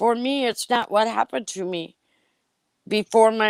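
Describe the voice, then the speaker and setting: A woman with an American accent speaks at a fairly high pitch and moderate pace, with ordinary pitch variation. The sound is dry and close, with no echo. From Wisconsin. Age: 60s. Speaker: person in recovery sharing her story. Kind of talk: testimony. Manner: halting, many fillers and restarts.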